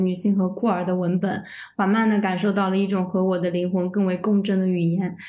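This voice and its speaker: With audible room echo, a woman speaks at medium pitch and a moderate pace in a monotone, flat intonation. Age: 20s. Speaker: freelance writer. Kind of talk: casual chat.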